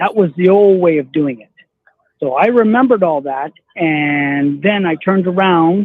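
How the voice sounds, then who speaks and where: Delivered at a fairly slow pace, the man's speech has ordinary pitch variation. His pitch is high. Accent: Canadian. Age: 60s. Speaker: caller. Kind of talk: casual chat.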